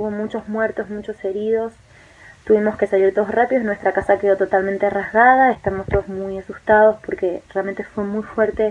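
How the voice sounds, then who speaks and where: This woman speaks with monotone, flat intonation at a medium pitch. Her pace is fairly quick. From Argentina, Misiones province. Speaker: expatriate eyewitness. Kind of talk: eyewitness testimony. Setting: recorded video message. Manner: hesitant, many fillers and repetitions. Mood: shaken, earnest.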